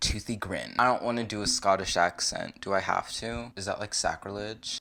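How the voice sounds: The speaker reads in a natural voice, keeping the intonation fairly even.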